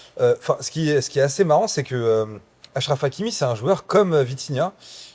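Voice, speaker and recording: A man's fairly high voice at a fairly quick pace, with lively intonation. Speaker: podcast host. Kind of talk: casual chat. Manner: loud; halting.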